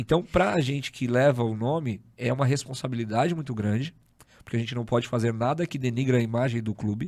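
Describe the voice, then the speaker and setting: With an unremarkable speaking voice, a man talks at a fairly quick pace and medium pitch, with ordinary pitch variation. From São Paulo, Zona Norte. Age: 30s. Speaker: podcast host. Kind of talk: casual interview chat.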